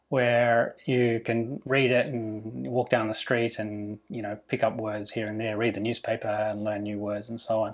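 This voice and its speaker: A man speaks with a strong Australian accent. His pace is fairly slow. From Australia, Melbourne. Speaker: vlogger renovating a house. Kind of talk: Q&A vlog monologue.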